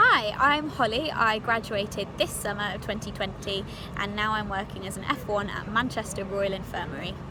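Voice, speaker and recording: Audible room echo and noticeable background noise surround the voice. A woman speaks at a moderate pace in a medium pitch, with ordinary pitch variation. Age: 20s. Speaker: junior doctor. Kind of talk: recorded video message.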